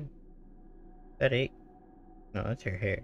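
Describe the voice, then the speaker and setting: This man talks at a very slow pace. Noticeable background noise runs behind him. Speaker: gaming streamer. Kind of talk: live gameplay commentary.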